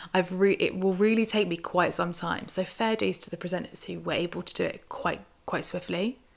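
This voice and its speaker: With a British accent, a woman speaks at a moderate pace with fairly even intonation. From UK. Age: 20s. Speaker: podcast host. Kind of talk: solo casual commentary.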